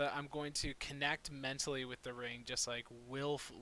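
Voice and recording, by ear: The tone is bright and sharp, with little pitch movement. The pace is moderate. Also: man, medium pitch for a man.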